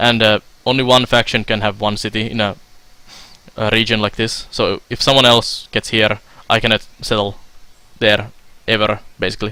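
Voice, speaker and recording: A man with a medium pitch and a bright, sharp tone speaks at a moderate pace in a monotone, flat intonation. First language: Finnish. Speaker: video game streamer. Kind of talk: live stream gameplay commentary. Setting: live stream. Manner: hesitant, many filler sounds.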